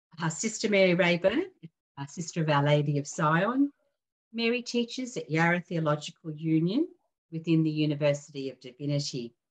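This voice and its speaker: Somewhat breathy and fairly low in pitch, a woman talks at a fairly quick pace. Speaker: webinar host. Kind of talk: formal introduction. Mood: calm, respectful. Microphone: video call.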